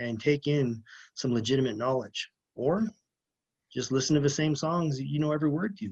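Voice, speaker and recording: A man talks at a fairly quick pace in an ordinary speaking voice, fairly high in pitch with ordinary pitch variation. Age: 30s. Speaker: lineman, former police officer. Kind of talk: podcast interview.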